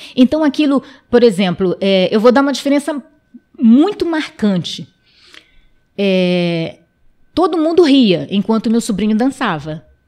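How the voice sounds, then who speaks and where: Over a quiet background, a dark, mellow tone moves through very wide pitch swings at a fairly slow pace, broken by long, frequent pauses. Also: woman, fairly high pitch for a woman. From Amapá, northern Brazil (Wayampi village); Amapá, Brazil. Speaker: interview guest. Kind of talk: interview. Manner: hesitant, many fillers. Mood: earnest, sometimes smiling. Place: studio. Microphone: studio mic.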